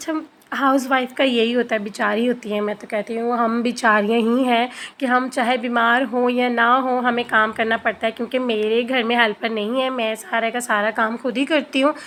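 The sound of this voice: At a moderate pace with few pauses, a woman speaks with a fairly bright tone, fairly high pitch and fairly even intonation.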